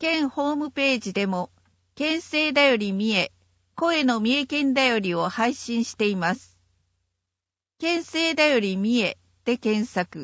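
A woman talks at a fairly slow pace in a high voice. Her intonation is lively. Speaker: narrator. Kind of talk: reading aloud. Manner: formal.

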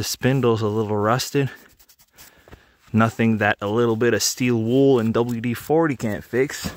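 At a fairly slow pace, a man talks with fairly even intonation and a medium pitch.

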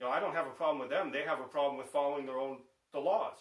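A man talks with an American accent against a quiet background. Audible room echo surrounds his voice. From Chicago, US Midwest. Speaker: vlogger, bass player; political commentator. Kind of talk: political rant monologue. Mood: indignant, accusatory. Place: home room.

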